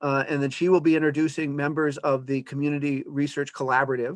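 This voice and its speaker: Against a quiet background, a man with a fairly high pitch talks at a fairly quick pace in a dry, close sound with no echo. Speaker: academic presenter. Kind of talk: lecture. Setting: video call. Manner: fast.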